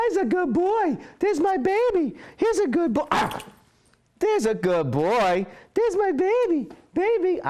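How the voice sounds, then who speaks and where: In a put-on character voice, someone speaks at a moderate pace with an extremely high, squeaky pitch. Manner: happy, excited.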